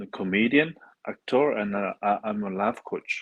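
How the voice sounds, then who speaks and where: A man with a French accent, his pitch fairly low, in a dry, close sound without echo. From France, Paris. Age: 30s. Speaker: dating coach and comedian. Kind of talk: casual interview.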